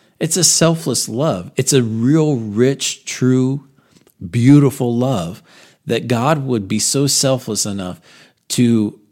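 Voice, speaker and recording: Recorded very cleanly against a silent background, a man with medium pitch and ordinary pitch variation has an unremarkable speaking voice. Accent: American. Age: 40s. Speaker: pastor. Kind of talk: sermon recap podcast.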